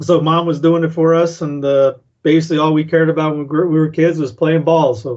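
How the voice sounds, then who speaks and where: A man talks at a very fast pace. His pitch sits fairly high for a man, with fairly even intonation. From South Carolina (Cowpens), northern-parent family. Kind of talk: casual interview. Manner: halting, many fillers.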